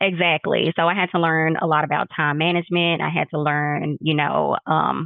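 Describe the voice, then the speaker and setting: Delivered with a Texas accent, the speech has a moderate pace and hardly any pauses. The intonation is monotone and flat, and the loudness stays very even. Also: woman, very deep, low pitch for a woman. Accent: Texas accent, noticeable. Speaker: nurse practitioner, clinic owner. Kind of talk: interview.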